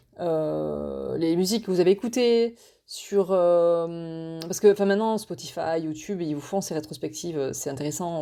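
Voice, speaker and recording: Her voice has a fairly low pitch for a woman and a dark, mellow tone with ordinary pitch variation, heard in a very clean recording with a silent background. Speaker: podcast host. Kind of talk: casual monologue podcast. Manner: fast; halting, many fillers and repetitions.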